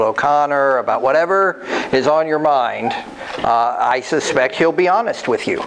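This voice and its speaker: Noticeable background noise sits behind a man speaking at a moderate pace with a fairly high pitch and ordinary pitch variation. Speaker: museum event host. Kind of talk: live interview before audience. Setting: stage with audience. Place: hall. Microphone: handheld.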